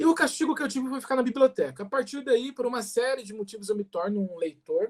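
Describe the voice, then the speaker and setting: Lively intonation marks speech that moves at a very fast pace. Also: man. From Brazil, Paraná (Umuarama). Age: 20s. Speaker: municipal culture secretary. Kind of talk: panel talk.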